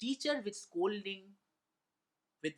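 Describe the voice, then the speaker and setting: A man with a Bengali accent speaks with very wide pitch swings. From India, Kolkata (Bengali). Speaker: motivational speaker, former radio jockey. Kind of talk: motivational talk with personal stories.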